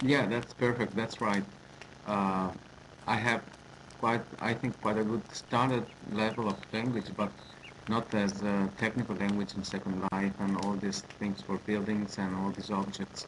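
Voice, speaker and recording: A man's fairly low-pitched voice in a monotone, flat intonation, over noticeable background noise. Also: fairly slow pace. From Italy. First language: Italian. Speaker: language teacher. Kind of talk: online group discussion. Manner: halting.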